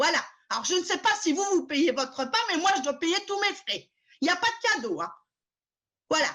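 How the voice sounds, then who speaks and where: Her voice raised and projected, a woman with an extremely high pitch and a bright, sharp tone talks at a moderate pace, her intonation lively, with long, frequent pauses. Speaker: tour guide. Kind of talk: web conference presentation. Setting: video call. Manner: loud; animated. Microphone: bad computer sound, mic problem.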